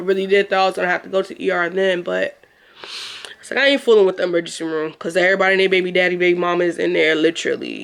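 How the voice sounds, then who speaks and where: A woman's animated voice at a medium pitch. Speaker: vlogger. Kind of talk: casual vlog talk. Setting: home, sitting on a futon.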